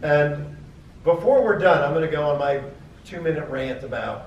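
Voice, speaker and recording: With audible room echo, a man speaks at a fairly slow pace in a fairly high pitch with ordinary pitch variation. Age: 60s. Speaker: film producer on convention panel. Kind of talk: convention panel discussion. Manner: animated.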